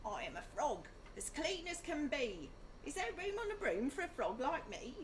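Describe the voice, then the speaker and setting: Put on as a character voice, this croaky delivery moves at a moderate pace over clear background noise. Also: woman. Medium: read story.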